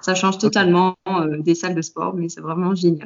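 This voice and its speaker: In a plain, everyday voice, a woman talks at a fairly quick pace with a fairly low pitch and fairly even intonation. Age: 30s. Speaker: fitness coach. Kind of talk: interview.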